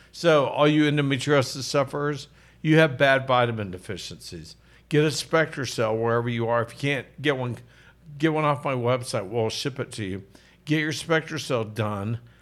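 A plain, everyday voice belongs to a man with a medium pitch, ordinary pitch variation and a moderate pace. The recording is very clean, with a silent background. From Oklahoma. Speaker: physician and podcast host. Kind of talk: casual health talk show. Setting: studio. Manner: jokey, laughs often.

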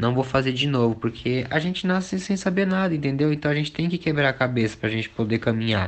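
A man with an unremarkable speaking voice talks at a fairly quick pace with lively intonation. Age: 20s. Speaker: singer and dancer. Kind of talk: casual chat.

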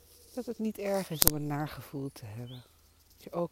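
Noticeable background noise can be heard. The talking goes at a fairly slow pace. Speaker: meditation teacher. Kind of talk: guided meditation. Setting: outdoors. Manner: soft-spoken. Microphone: crackling interference.

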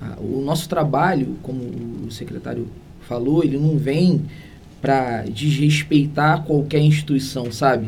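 A fairly high-pitched man at a fairly slow pace with fairly even intonation, amid noticeable background noise and audible room echo. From Brazil, Niterói (Rio de Janeiro state). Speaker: criminal lawyer, human rights coordinator. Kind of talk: interview.

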